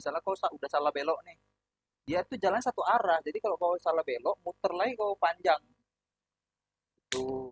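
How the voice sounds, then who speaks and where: A loud man's voice, high in pitch, with lively intonation and long, frequent pauses. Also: fairly quick pace, dry, close sound with no echo. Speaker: podcast host. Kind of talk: casual chat. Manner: blunt tone, often taken as angry.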